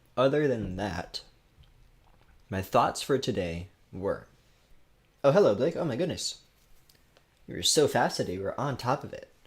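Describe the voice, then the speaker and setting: A somewhat breathy male voice with very wide pitch swings, big swings in loudness, and long, frequent pauses. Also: medium pitch for a man, moderate pace. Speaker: gaming streamer. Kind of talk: casual live stream chat. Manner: casual, rambling.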